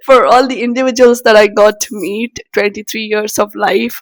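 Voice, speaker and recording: The recording is dry and close with no echo as a woman speaks at a fairly high pitch with fairly even intonation. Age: 20s. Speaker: vlogger. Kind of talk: personal reflection to camera. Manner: halting.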